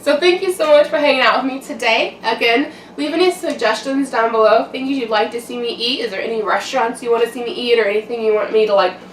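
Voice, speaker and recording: A woman speaks in a high voice. Noticeable background noise is present. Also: lively intonation. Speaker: mukbang YouTuber. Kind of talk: casual vlog chat while eating. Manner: casual, filler-heavy.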